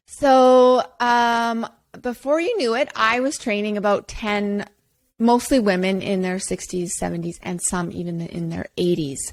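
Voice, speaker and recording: An ordinary speaking voice moves at a fairly slow pace with lively intonation on a very clean recording with a silent background. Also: woman, medium pitch for a woman. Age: 40s. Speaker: personal trainer and podcast host. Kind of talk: casual podcast monologue.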